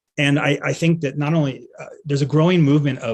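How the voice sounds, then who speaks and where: A man speaks at a fairly quick pace, his fairly high voice somewhat breathy. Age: 60s. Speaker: veterinarian and pet end-of-life doula. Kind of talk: conference talk. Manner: halting, many fillers and repeats.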